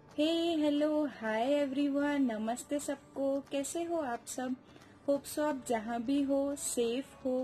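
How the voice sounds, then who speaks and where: A woman speaks with fairly even intonation over faint music in the background. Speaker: vlogger. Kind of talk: casual vlog chat. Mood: calm, warm. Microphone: phone near.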